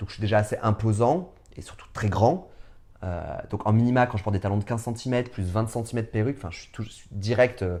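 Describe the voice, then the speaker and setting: Speaking at a very fast pace, a man uses a fairly low pitch with ordinary variation, a dark, mellow tone and big swings in loudness. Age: 30s. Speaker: drag performer. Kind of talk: interview. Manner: hesitant, many fillers.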